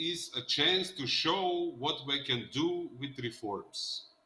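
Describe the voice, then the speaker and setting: A man speaks with a Macedonian accent. There is noticeable background noise. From North Macedonia. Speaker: politician. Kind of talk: panel discussion.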